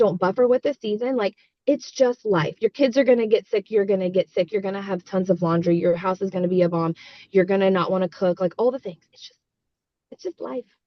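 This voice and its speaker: A woman's medium-pitched, animated voice at a fairly quick pace, with ordinary pitch variation and big swings in loudness. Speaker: network marketing team coach. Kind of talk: team coaching call. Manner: fast.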